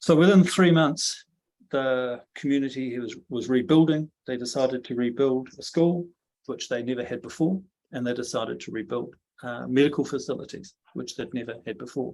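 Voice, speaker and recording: The voice has ordinary pitch variation and big swings in loudness. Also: man, medium pitch for a man. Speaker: social work leader giving a talk. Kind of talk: talk to a steering group. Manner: fast.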